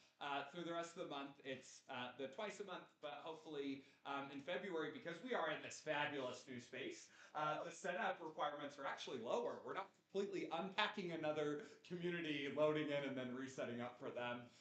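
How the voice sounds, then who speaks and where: The speech moves at a fairly quick pace with hardly any pauses and ordinary pitch variation. Room echo is audible. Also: man, fairly high pitch for a man. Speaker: recovery community leader. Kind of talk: announcements at a gathering. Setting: community gathering room with microphones. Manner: loud.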